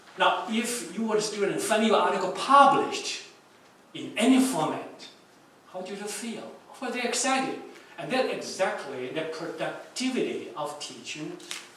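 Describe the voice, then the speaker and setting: At a moderate pace, a high-pitched man speaks with very wide pitch swings and big swings in loudness. Audible room echo and noticeable background noise surround him. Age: 70s. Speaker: keynote speaker, education scholar. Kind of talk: keynote lecture. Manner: code-switching English and Mandarin.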